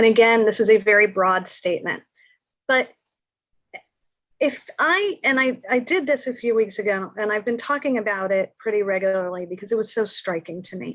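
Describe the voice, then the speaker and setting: Her pitch fairly high, a woman speaks at a moderate pace. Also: ordinary pitch variation. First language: Spanish. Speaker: panel guest on antisemitism. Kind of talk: panel discussion.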